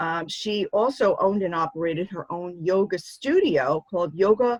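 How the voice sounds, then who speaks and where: Music plays behind a woman speaking at a moderate pace. Her medium-pitched voice has a dry, close sound with no echo. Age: 60s. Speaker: show host and author. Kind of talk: interview.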